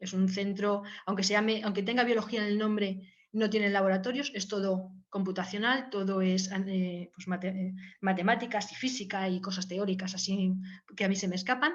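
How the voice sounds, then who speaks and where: Audible room echo surrounds a woman's somewhat breathy voice, medium in pitch, with fairly even intonation and a fairly quick pace. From Valencia, Spain. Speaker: biologist researcher. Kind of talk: informal talk with slides. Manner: hesitant, many fillers.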